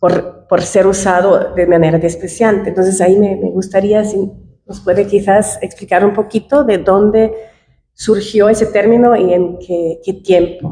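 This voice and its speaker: A woman with a non-native accent speaks fairly slowly at a medium pitch with fairly even intonation. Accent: foreign accent in Spanish. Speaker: audience member. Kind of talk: audience question at academic panel. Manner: halting.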